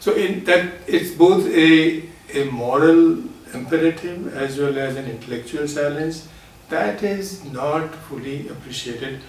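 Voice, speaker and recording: Big swings in loudness mark this fairly slow speech with ordinary pitch variation, recorded with audible room echo and noticeable background noise. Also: man, fairly high pitch for a man. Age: 60s. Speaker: retired social entrepreneur. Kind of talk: interview. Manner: hesitant, with fillers.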